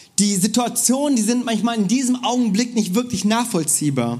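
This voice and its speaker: A man speaks with a high pitch and an animated tone. Audible room echo surrounds his voice. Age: 30s. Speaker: preacher. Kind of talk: sermon.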